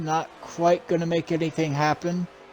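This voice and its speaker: Amid noticeable background noise, a man speaks at a moderate pace and a fairly high pitch with monotone, flat intonation. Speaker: sim racing play-by-play commentator. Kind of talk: live commentary.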